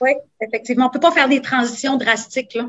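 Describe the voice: A woman talks at a fast pace with a high pitch. Her tone is fairly bright, with ordinary pitch variation.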